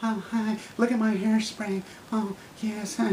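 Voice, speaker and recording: Using a put-on character voice, a woman speaks in a monotone, flat intonation at a fairly slow pace. Clear background noise runs underneath. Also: fairly high pitch for a woman. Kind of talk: satirical character monologue. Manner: mocking, affected, prissy.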